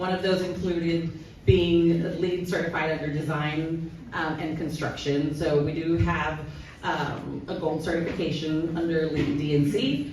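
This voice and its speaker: Over noticeable background noise and audible room echo, a woman speaks in a very deep, low voice with monotone, flat intonation. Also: fairly slow pace. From Cuban heritage. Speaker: sustainability director at sports venue. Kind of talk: conference panel talk. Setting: stage with audience. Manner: loud.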